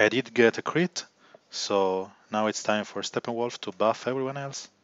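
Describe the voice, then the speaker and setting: A man with an Italian accent speaks at a moderate pace, his voice at a medium pitch with ordinary pitch variation. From Italy. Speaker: gaming livestreamer. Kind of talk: live gameplay commentary.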